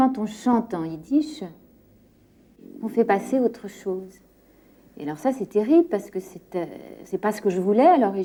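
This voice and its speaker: At a moderate pace, a woman of medium pitch speaks in a dark, mellow tone with lively intonation and long, frequent pauses. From France, Paris. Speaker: singer. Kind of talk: interview. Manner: halting.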